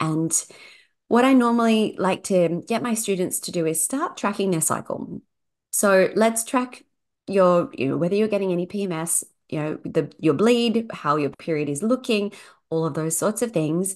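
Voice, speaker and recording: A woman speaks in a plain, everyday voice at a medium pitch and moderate pace. Her intonation is lively, and the background is quiet. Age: 40s. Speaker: fertility yoga teacher. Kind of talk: interview, personal story and explanation.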